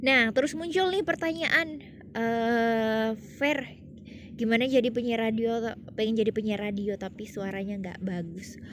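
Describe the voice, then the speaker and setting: A woman's fairly high voice at a fairly slow pace, with lively intonation. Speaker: radio presenter and vlogger. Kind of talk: casual vlog talk to camera. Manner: casual with many fillers.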